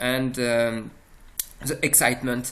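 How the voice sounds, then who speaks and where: The speaker talks at a very slow pace in a French accent. The intonation stays monotone and flat. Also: man. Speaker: software presenter. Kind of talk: product demo. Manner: halting, many fillers.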